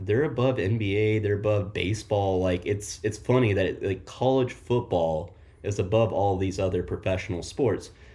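In an American accent, a man speaks at a moderate pace with hardly any pauses, his fairly low, somewhat breathy voice carrying a dark, mellow tone, ordinary pitch variation and very even loudness. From Oklahoma. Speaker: college football podcast co-host. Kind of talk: casual chat.

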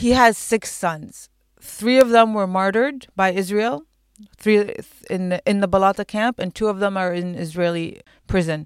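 A woman speaks with an Arabic accent at a medium pitch and moderate pace, with ordinary pitch variation. The recording is very clean with a silent background and a dry, close sound with no echo. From Palestine, East Jerusalem. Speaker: artist and activist. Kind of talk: interview.

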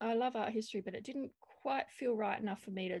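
Somewhat breathy, a woman speaks with an Australian accent at a fairly high pitch. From South Australia, Adelaide. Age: 40s. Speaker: visual artist. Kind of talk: casual interview.

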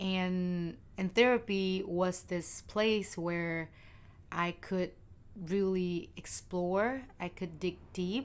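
At a very slow pace, a woman with a Vietnamese accent talks at a medium pitch with fairly even intonation. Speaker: podcast co-host. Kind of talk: casual chat.

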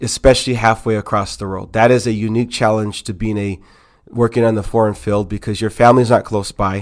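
A man talking fairly quickly in a monotone, flat voice, on a very clean recording with a silent background. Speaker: missionary. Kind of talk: casual chat.

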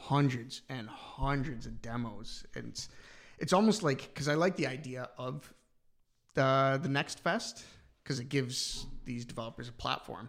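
The speaker uses an ordinary speaking voice with a Canadian accent. The pace is fairly slow, with ordinary pitch variation. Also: man, medium pitch for a man. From Canada, London, Ontario. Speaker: gaming podcast co-host. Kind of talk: casual chat.

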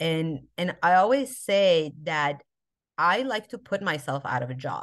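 A woman speaks with an American accent. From Albuquerque, New Mexico, US. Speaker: social justice activist. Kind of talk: interview conversation. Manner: halting, many fillers.

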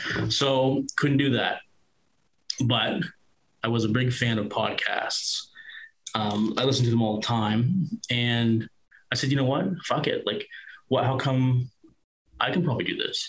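Speaking in a Nova Scotia accent, a man sounds somewhat breathy at a medium pitch with ordinary pitch variation. He talks at a fairly slow pace with long, frequent pauses. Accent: Atlantic Canadian (Nova Scotia). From Nova Scotia, Annapolis Valley. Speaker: former paramedic and podcaster. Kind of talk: interview testimony.

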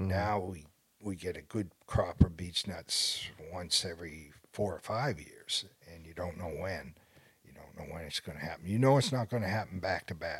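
Over a silent background in a very clean recording, a man with a very deep, low pitch speaks at a moderate pace, somewhat breathy, with ordinary pitch variation and big swings in loudness. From Maine. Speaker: wildlife biologist. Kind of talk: casual interview. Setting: in person at his lodge.

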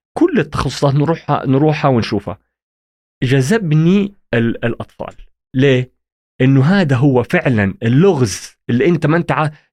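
A man's fairly high voice with very even loudness, a fairly slow pace and lively intonation. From Saudi Arabia (Jeddah, childhood in Egypt). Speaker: pediatric and sleep medicine consultant. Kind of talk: casual interview. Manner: halting, frequent restarts.

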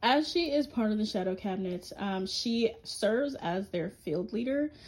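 A woman at a medium pitch sounds somewhat breathy, her intonation lively. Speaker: podcast host. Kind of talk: solo monologue about comic characters.

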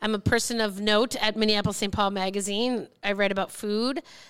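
Bright and sharp in tone, a woman with an American accent speaks at medium pitch on a very clean recording with a silent background. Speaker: food writer. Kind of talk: casual chat. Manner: animated.

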